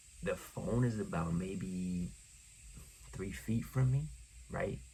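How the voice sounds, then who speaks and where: In a room with audible echo, a man speaks at a very slow pace with a very deep, low pitch that swings very widely, his somewhat breathy voice dark and mellow in tone. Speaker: podcast host. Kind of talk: motivational monologue. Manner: quiet, not projecting.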